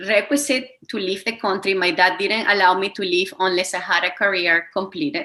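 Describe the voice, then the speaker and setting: A woman with a Spanish accent, fairly quick and lively in intonation. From Venezuela. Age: 30s. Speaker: wellness coach. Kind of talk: interview.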